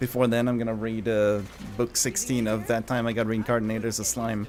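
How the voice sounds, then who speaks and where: A man speaks at a moderate pace with a Swedish accent. His pitch sits in the medium range. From Sweden. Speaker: gaming streamer. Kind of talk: live game stream chat. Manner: casual, hesitant with fillers.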